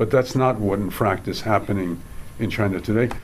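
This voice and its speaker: The voice has ordinary pitch variation. Audible room echo surrounds it. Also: man. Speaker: professor and panel chair. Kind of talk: academic panel presentation. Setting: stage with audience. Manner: halting, many fillers.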